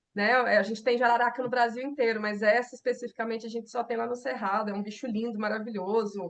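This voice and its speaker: In a Goiás accent, a woman rattles off words at a very fast pace with hardly any pauses, her fairly high voice monotone and flat. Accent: Goiás accent, similar to Minas Gerais. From Brazil, interior of Goiás. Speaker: herpetologist. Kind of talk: interview.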